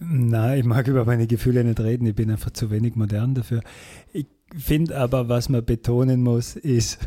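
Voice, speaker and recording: Recorded very cleanly with a silent background, this man has a medium pitch, a dark, mellow tone, and a somewhat breathy sound, speaking at a moderate pace with very even loudness and fairly even intonation. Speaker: podcast co-host. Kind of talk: casual political discussion.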